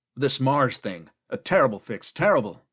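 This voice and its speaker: Putting on a raspy, growling character voice, a man speaks at a medium pitch. His pitch swings very widely at a moderate pace. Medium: read story. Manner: superior and bitter.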